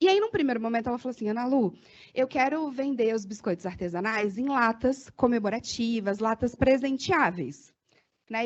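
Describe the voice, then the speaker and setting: With a fairly quick delivery, the voice moves through lively rises and falls in intonation. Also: woman. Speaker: marketing consultant. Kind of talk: workshop talk. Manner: fast; animated.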